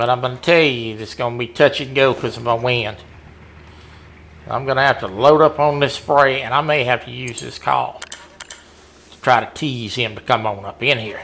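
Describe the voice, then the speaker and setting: A man at medium pitch with a Southern US accent, fairly even intonation, long and frequent pauses, big swings in loudness and noticeable background noise. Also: moderate pace. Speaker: gamer competing in hunting game tournament. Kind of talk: live gameplay commentary chat.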